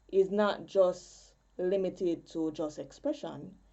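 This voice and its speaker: A woman's medium-pitched voice with a Jamaican accent. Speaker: poet and spoken word artist. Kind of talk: conference presentation.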